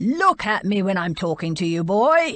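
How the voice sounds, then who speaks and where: A bellowing put-on character voice at a middle pitch. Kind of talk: commanding, authoritative. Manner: roaring, stern, scary.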